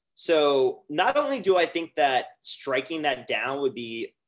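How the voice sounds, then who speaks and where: An ordinary speaking voice with ordinary pitch variation comes through against a quiet background. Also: man. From US South. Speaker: business development director; guest. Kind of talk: interview. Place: home room. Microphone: video call.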